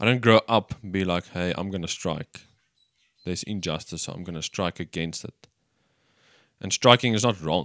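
In an Afrikaans South African accent, a man with a very deep, low pitch and ordinary pitch variation talks at a moderate pace with big swings in loudness and long, frequent pauses, recorded dry and close with no echo on a very clean recording with a silent background. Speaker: church podcast co-host. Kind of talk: casual chat.

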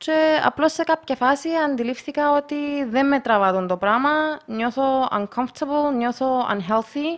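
A high-pitched woman talks fairly slowly, her pitch varying in an ordinary way. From Russia, moved to Cyprus at 12. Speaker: multi-sport enthusiast and photographer. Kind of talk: casual chat.

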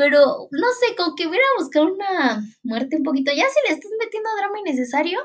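Her tone animated, a woman speaks with very wide pitch swings. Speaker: podcaster reviewing TV series. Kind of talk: casual monologue.

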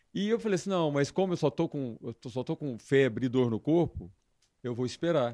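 Over a quiet background, a man with a dark, mellow tone talks at a fairly quick pace and fairly high pitch, the sound dry and close with no echo. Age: 50s. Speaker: dance band leader. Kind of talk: casual interview.

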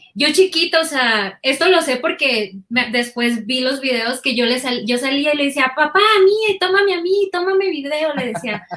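A woman speaks in a raised, projected voice with lively intonation. Her pace is moderate, with hardly any pauses. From Mexico, Sinaloa (Guasave, Culiacán). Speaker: audiovisual producer and video editor. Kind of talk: casual interview chat. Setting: video call.

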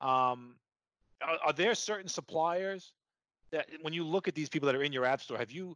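A bright, sharp voice with a strong New York accent moves at a moderate pace, broken by long, frequent pauses. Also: man. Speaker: podcast host. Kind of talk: interview conversation. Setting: video call.

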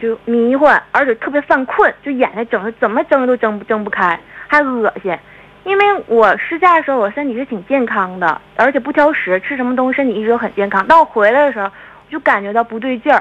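A woman talks at a fairly quick pace with a high pitch. Her intonation is lively, with noticeable background noise behind her. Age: 20s. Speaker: caller. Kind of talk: phone-in personal story. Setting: phone call.

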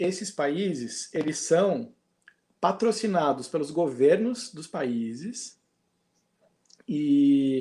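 A man with a high pitch and a dark, mellow tone speaks very slowly, his intonation lively. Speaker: former theme park worker. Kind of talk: casual chat.

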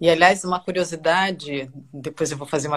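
A woman talks at a fairly quick pace. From Brazil (Brasília). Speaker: journalist. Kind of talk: casual chat. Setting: video call.

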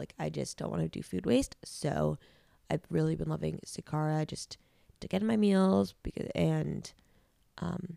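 A woman speaks at a moderate pace in a low, dark and mellow voice with vocal fry and fairly even intonation, recorded very cleanly against a silent background with a dry, close sound and no echo.

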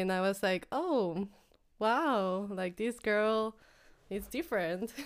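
A woman speaks very slowly in a Spanish accent, her pitch medium. The recording is very clean, with a silent background. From Mexico. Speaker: office admin. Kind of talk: casual chat. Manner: halting.

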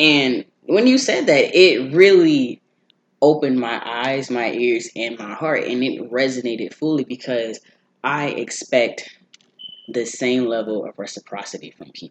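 A man uses an ordinary speaking voice at a medium pitch with ordinary pitch variation. His loudness swings widely. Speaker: college student. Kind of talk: casual chat.

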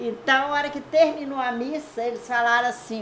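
Audible room echo surrounds the speaker. She is a woman with a high-pitched voice. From Aimorés, Minas Gerais, Brazil. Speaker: longtime resident sharing local history. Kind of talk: oral history interview. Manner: rambling storytelling.

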